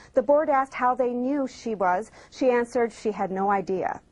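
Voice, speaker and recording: Her pitch high, a woman speaks at a moderate pace with lively intonation. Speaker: TV news reporter. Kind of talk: TV news report.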